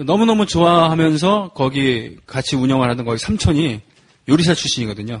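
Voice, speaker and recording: At a moderate pace, a man with a fairly high pitch speaks in a somewhat breathy voice with lively intonation. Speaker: folk protest singer. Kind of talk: casual chat.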